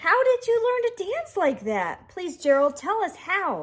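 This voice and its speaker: In a put-on character voice, a woman squeaks out her lines at an extremely high pitch. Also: moderate pace. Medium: read story.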